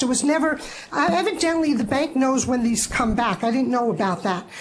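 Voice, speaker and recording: The speaker moves at a fairly quick pace with lively intonation. Noticeable background noise and audible room echo fill the recording. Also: woman. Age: 60s. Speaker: licensee appealing to licensing board. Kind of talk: public testimony at board meeting. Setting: public board meeting.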